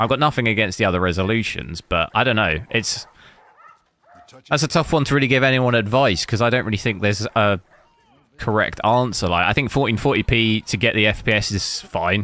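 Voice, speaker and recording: A man with an English accent speaks at a fairly quick pace and medium pitch, with ordinary pitch variation and very even loudness. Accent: English accent, noted by viewers. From England. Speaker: gaming hardware streamer. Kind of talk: casual live-stream commentary. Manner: casual, many fillers.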